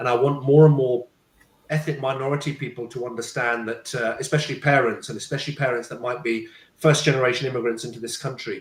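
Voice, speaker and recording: Very fast and monotone, a man speaks with flat intonation at a medium pitch. His voice is somewhat breathy. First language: Punjabi. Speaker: parenting coach and speaker. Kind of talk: panel talk, personal story. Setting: live stream. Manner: halting, with repetitions.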